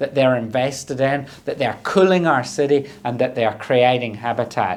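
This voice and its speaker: A man in a Scottish accent talks at a medium pitch with ordinary pitch variation. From southern Scotland. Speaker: government minister. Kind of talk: prepared conference speech. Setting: recorded video address.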